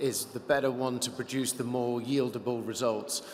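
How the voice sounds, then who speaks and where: Noticeable background noise sits under a man's medium-pitched voice, his intonation monotone and flat. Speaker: investor. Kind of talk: panel discussion.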